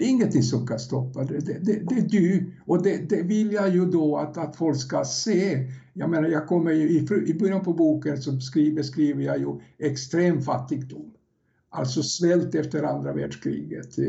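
A man with a fairly high pitch and vocal fry speaks at a moderate pace with ordinary pitch variation. Audible room echo is present. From Yugoslavia. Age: 70s. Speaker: first-time author, former salesman. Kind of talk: podcast interview. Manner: halting, repeats words.

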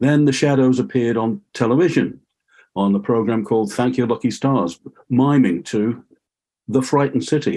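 At a moderate pace, a man speaks with vocal fry in a dark, mellow tone at a medium pitch. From Liverpool, England. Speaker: music fan and online archivist. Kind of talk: casual interview chat.

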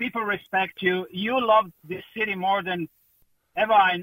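A man with a Croatian accent speaks at a moderate pace in a high, bright, sharp voice with fairly even intonation, recorded dry and close with no echo.

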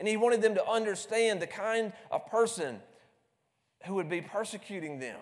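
A man with a Southern US accent talks at a high pitch. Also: ordinary pitch variation, moderate pace. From US South, South Carolina. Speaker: preacher. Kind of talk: sermon. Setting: church. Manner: repeats words, stammers.

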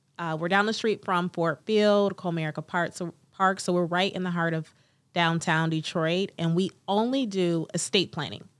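With an ordinary speaking voice and an American accent, a woman talks at a moderate pace in a fairly low pitch and fairly even intonation, in a very clean recording with a silent background. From US Midwest, Cleveland, Ohio. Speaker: estate planning attorney. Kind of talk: interview.

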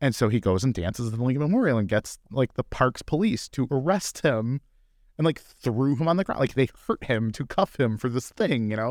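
An unremarkable speaking voice, with lively intonation, moves at a fairly quick pace. The recording is very clean, with a silent background and a dry, close sound with no echo. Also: man, medium pitch for a man. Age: 30s. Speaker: bitcoin mining executive and commentator. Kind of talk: casual chat. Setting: studio.

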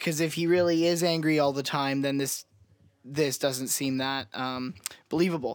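A man with a normal speaking voice and a fairly high pitch, on a very clean recording with a silent background. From Canada. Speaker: podcast co-host. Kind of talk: casual chat.

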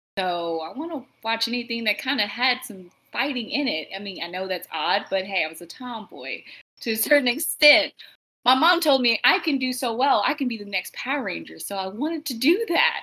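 A woman with a fairly high pitch and a bright, sharp tone speaks at a fairly quick pace, her intonation lively. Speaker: actor and costume designer. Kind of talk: casual chat.

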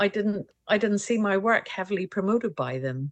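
A woman with a Scottish accent at a medium pitch, dry and close with no echo, over a quiet background. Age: 40s. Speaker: portrait painter. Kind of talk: casual interview.

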